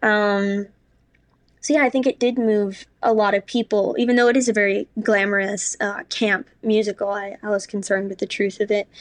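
A woman with an American accent has a plain, everyday voice at a medium pitch, speaking at a moderate pace with fairly even intonation. The sound is dry and close with no echo, over a quiet background. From New York City. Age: 20s. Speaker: actress. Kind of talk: casual chat. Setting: at home.

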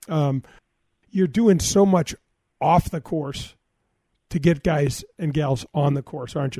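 With an American accent and a dark, mellow tone, a man speaks at a fairly slow pace and a fairly high pitch, somewhat breathy, taking long, frequent pauses in a dry, close sound with no echo. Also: ordinary pitch variation. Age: 50s. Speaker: radio host and former pro golfer. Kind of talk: radio talk show.

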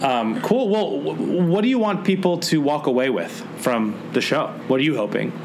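Speaking at a moderate pace over noticeable background noise, a man with a fairly high voice keeps his loudness very even while his pitch swings very widely. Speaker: podcast host. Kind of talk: casual chat. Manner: jokey, bantering.

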